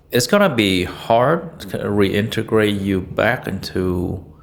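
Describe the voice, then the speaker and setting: A man speaks with a plain, everyday voice, pitched fairly low, with ordinary pitch variation. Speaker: physician. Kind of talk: interview. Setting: doctor's office.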